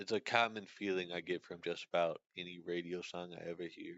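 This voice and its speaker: This man has a very deep, low pitch. He talks at a moderate pace. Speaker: streamer. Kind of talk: casual chat. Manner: monotone; halting.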